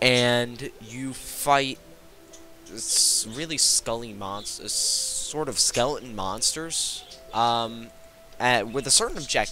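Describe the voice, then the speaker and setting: Over music in the background, a man speaks at medium pitch with ordinary pitch variation. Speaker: gaming youtuber. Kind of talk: gameplay commentary. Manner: halting, many fillers and restarts.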